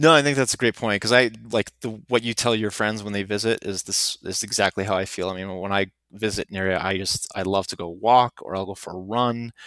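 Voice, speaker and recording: At a fairly quick pace with hardly any pauses, a man speaks at a fairly low pitch with fairly even intonation. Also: dry, close sound with no echo. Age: 30s. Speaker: long-distance hiker and guide. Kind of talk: casual chat. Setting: at home. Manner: halting.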